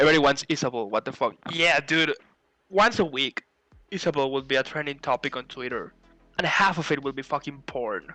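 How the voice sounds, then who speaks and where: Music plays in the background as a man with a Spanish accent speaks at a fairly high pitch. His pace is fairly quick, with ordinary pitch variation and a dry, close sound with no echo. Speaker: podcast co-host and streamer. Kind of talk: casual chat, reading fanfic aloud.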